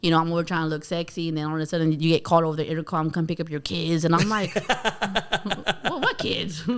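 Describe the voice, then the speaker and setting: Very fast, flat, monotone speech from a fairly low-pitched woman with an American accent, amid noticeable background noise. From Bakersfield, California. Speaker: stand-up comedian. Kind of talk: casual chat.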